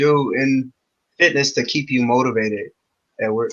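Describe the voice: A man speaks at a medium pitch. His tone is bright and sharp.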